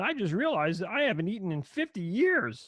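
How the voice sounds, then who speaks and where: A put-on character voice at a middle pitch jumps through very wide pitch swings at a fairly quick pace. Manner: dopey, silly.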